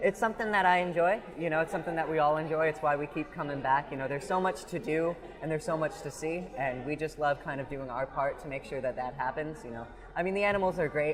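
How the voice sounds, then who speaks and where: Noticeable background noise surrounds a man with an American accent and fairly high pitch. He talks at a very fast pace with ordinary pitch variation. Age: 20s. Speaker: fair volunteer and intern. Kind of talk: casual interview. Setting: outdoors at a fair.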